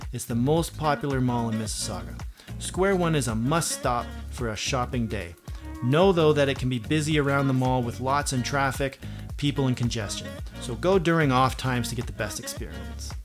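A man speaks fairly quickly while clear music sounds behind him. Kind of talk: scripted presenter talk. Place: home room.

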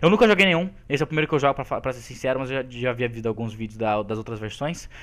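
The man speaks at a very fast pace. His pitch varies in an ordinary way. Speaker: gaming youtuber. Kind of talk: angry gaming rant. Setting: recorded gameplay commentary. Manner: loud, exasperated, animated.

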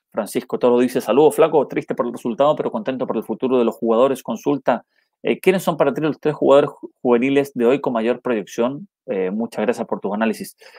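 A man speaks very fast with a dark, mellow tone and lively intonation, the sound dry with no echo over a quiet background. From Chile. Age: 30s. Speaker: football commentator and YouTuber; football commentator streamer. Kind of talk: live stream match analysis with chat reading. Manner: halting with frequent repetitions; casual and friendly. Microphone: earbuds.

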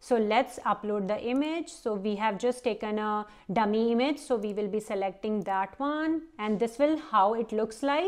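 At a moderate pace, a woman speaks in a normal speaking voice with fairly high pitch and ordinary pitch variation. The background is quiet. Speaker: vlogger and parent. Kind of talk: tutorial.

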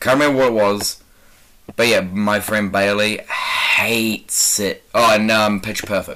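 Speaking in a New Zealand accent, a man with a fairly low pitch talks at a fairly slow pace in a monotone, flat intonation over noticeable background noise. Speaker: gaming YouTuber. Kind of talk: casual gameplay commentary.

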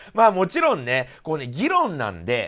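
Behind this man, the background stays quiet. He talks fairly quickly. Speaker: commentary vlogger. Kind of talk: commentary. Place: home room.

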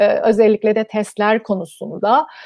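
A woman with a fairly high voice speaks at a moderate pace, her dry sound free of echo against a quiet background. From Cyprus. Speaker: gynecologist; guest. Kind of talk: interview. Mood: calm, friendly. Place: home room. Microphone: video call.

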